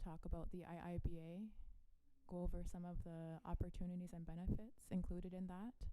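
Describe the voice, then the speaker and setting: Dark, mellow, monotone speech at a fairly quick pace, with audible room echo. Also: woman. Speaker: parks agency presenter. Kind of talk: presentation. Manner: fast.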